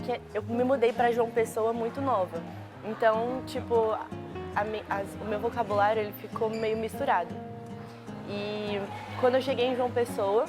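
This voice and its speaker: Music plays in the background as a woman speaks at a fairly slow pace, with long, frequent pauses. Her pitch is fairly high and her intonation fairly even. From Brazil.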